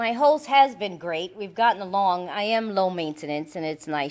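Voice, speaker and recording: On a very clean recording with a silent background, a woman speaks with a strong Puerto Rican accent. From Puerto Rican background. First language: Spanish. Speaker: AA speaker, recovering alcoholic. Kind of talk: recovery testimony talk. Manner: casual, conversational with filler words.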